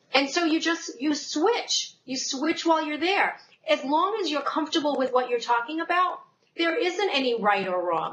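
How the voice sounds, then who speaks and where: A woman with a New York accent talks in a high pitch with very wide pitch swings. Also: moderate pace. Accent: New York accent, noticeable. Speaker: sales and marketing speaker, former insurance professional. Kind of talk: casual interview chat.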